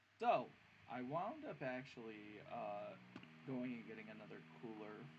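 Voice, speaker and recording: Audible room echo hangs around the speech. The man delivers it at a fairly slow pace. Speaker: gaming YouTuber. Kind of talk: gameplay commentary. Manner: casual, halting with many fillers.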